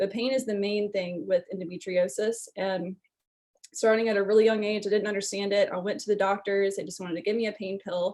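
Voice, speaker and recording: A woman in a normal speaking voice talks at a fairly quick pace and a medium pitch. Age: 20s. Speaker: wellness testimonial speaker. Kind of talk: personal testimony.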